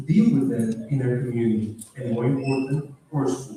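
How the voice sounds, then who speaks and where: Audible room echo surrounds a man of medium pitch who talks at a moderate pace. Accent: Spanish. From Peru. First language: Spanish. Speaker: graduating student. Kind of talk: graduation speech.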